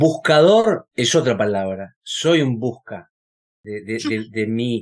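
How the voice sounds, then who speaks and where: A man speaks with lively intonation. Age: 60s. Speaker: podcast co-host. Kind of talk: casual conversation. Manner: halting, repeats words.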